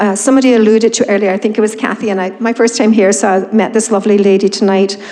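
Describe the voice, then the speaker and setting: Against noticeable background noise, a woman talks at a very fast pace in a medium pitch with monotone, flat intonation. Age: 60s. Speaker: resident speaking at council meeting. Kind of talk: public comment. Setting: town council chamber. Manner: informal, hesitant with many ums.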